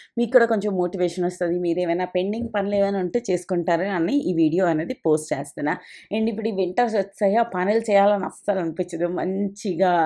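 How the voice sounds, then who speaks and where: A woman talks in a medium pitch with a dark, mellow tone. Her intonation is fairly even, and the background is quiet. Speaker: lifestyle vlogger. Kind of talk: casual vlog narration.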